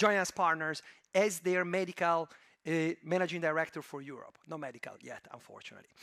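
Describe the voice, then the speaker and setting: Fairly quick in pace, a man speaks at a high pitch. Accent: slight Italian. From Italy, Turin. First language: Italian. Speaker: venture capital investor. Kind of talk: conference talk. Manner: hesitant, many fillers.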